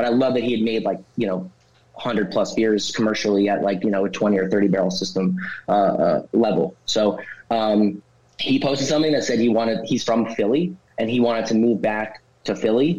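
Talking fairly quickly, a man with a New Jersey accent uses a medium pitch and ordinary pitch variation. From northern New Jersey. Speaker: brewery founder. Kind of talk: interview. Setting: studio.

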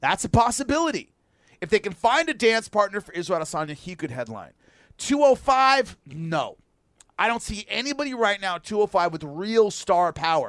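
On a very clean recording with a silent background, a man's high voice swings very widely in pitch and shifts greatly in loudness. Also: moderate pace, dry, close sound with no echo. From rural area. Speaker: MMA radio host. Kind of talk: casual chat. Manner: animated.

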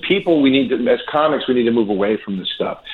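Here a man speaks at a very fast pace. His pitch shows ordinary variation. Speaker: comedian. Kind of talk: casual chat. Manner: calm; halting.

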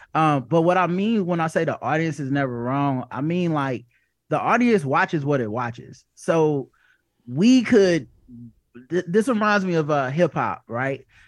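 Against a quiet background, a man with an American accent talks at a fairly slow pace in an unremarkable speaking voice, his intonation lively. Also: fairly high pitch for a man. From US South. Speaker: comedian and podcast host. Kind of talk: casual chat.

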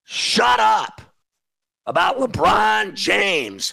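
A man with an American accent shouts at a very slow pace. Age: 50s. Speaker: sports betting radio host. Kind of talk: casual sports talk. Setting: studio. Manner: animated; loud.

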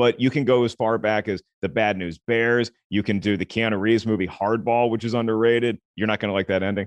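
Monotone, flat intonation with a dry, close sound with no echo and hardly any pauses. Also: man. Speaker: film critic and comedian. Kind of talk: casual interview.

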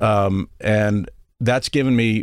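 The recording is very clean, with a silent background. A man talks in an American accent. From Texas (San Antonio). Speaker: magazine editor. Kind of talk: casual chat. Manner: halting.

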